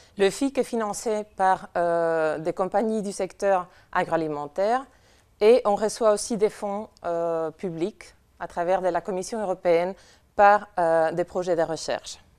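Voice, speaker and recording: Speaking very slowly, a woman with a non-native accent uses a medium pitch and ordinary pitch variation. The background is quiet. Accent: foreign accent in French. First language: not French (speaking French). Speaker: conference speaker from a nutrition information organization. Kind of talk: conference talk. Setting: conference with audience. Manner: hesitant, many fillers.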